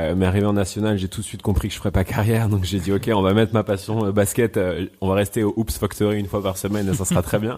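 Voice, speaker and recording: A man's fairly low, dark, mellow voice at a very fast pace, with fairly even intonation, in a very clean recording with a silent background. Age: 30s. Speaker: media entrepreneur. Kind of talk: interview. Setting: coworking space.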